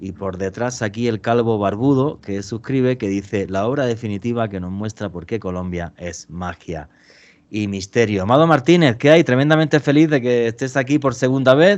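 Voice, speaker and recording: A man's medium-pitched voice with a Spanish accent, lively intonation and big swings in loudness, against a quiet background. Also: moderate pace. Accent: Spanish (Spain). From Spain. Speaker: podcast host. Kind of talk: interview.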